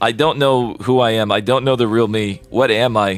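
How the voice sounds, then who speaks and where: Music in the background behind a medium-pitched male voice. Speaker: streamer. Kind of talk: casual, swears.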